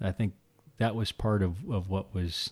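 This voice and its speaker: A man with an American accent speaks at a moderate pace in a very deep, low voice that is somewhat breathy, on a very clean recording with a silent background. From California, Santa Maria Valley. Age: 40s. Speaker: rancher and winemaker. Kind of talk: casual interview chat. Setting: at host's kitchen table.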